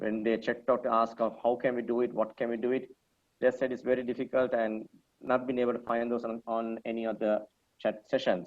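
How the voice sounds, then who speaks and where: Talking at a fairly quick clip, a man delivers his words in a flat monotone. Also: medium pitch for a man. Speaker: media academy director giving a teacher training talk. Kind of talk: online lecture. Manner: fast; casual, with many fillers.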